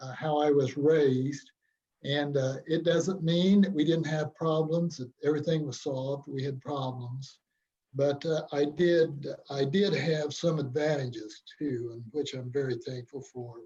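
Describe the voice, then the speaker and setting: A man with an American accent, fairly high pitch and a dark, mellow, somewhat breathy tone, at a fairly slow pace with fairly even intonation and big swings in loudness. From US Midwest, rural Illinois (Pike County). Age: 70s. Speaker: church member sharing his conversion story. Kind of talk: testimony. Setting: video call.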